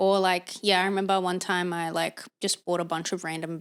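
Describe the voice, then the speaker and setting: A woman speaks at a fairly quick pace with an Australian accent, her medium pitch held in fairly even intonation. The recording is very clean, with a silent background. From Australia, Sydney. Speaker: podcast co-host. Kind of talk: casual chat.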